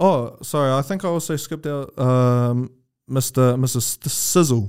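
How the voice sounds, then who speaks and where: A New Zealand accent at a moderate pace, with ordinary pitch variation, on a very clean recording with a silent background. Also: man. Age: 20s. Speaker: podcast host. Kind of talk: casual chat.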